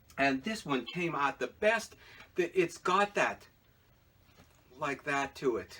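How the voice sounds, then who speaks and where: A man with a high pitch speaks at a fairly slow pace amid noticeable background noise. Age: 60s. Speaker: potter and video blogger. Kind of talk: casual vlog talk while eating. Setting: home pottery studio. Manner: hesitant, many fillers.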